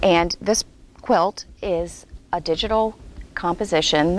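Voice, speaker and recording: This woman's voice sits fairly low, with ordinary pitch variation. The sound is dry with no echo, over light background noise. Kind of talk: interview answer. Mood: warm, calm. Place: hall.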